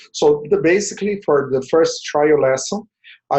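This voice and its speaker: A man with a Portuguese accent speaks at a high pitch. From Brazil. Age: 40s. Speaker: language tutor. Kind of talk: tutorial.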